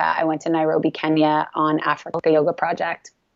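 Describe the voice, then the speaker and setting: Someone with a Canadian accent speaks at a moderate pace. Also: woman. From Canada. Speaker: yoga teacher and wellness coach. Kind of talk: casual interview.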